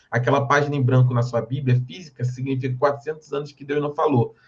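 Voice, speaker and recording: Somewhat breathy, a man talks at a fairly quick pace with a medium pitch and fairly even intonation. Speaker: Bible teacher. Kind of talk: lecture. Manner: fast.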